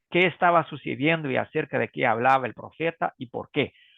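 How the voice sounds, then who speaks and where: With fairly high pitch and ordinary pitch variation, a man speaks at a moderate pace. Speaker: preaching instructor. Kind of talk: online workshop presentation. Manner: halting.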